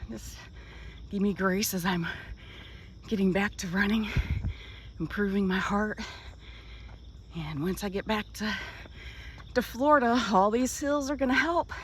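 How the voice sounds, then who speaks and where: This woman talks at a moderate pace with a medium pitch and lively intonation. Her speech is broken by long, frequent pauses. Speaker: vlogger, boat liveaboard traveler. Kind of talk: casual vlog monologue. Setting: outdoors. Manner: whispering.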